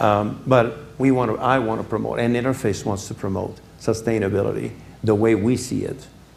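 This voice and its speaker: Audible room echo surrounds this man's voice. He is pitched fairly low and keeps his intonation fairly even. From Quebec, Canada. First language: French (speaking Spanish). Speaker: business executive, guest speaker. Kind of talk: lecture.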